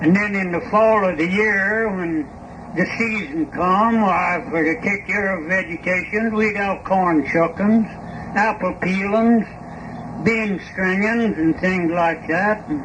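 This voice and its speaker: Over noticeable background noise, a man with a Southern Appalachian accent speaks very slowly at a high pitch with fairly even intonation. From East Tennessee mountains. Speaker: farmer and coffin maker. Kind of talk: interview answer.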